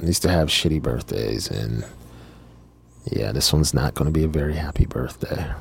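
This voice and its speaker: A man's very deep, low voice moves at a fairly quick pace with ordinary pitch variation. Long, frequent pauses break up his speech. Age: 40s. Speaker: podcast host. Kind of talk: personal monologue. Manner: halting.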